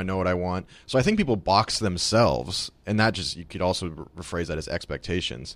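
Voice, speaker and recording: A man with a fairly low pitch and ordinary pitch variation speaks on a very clean recording with a silent background. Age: 20s. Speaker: podcast producer and guest. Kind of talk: casual chat.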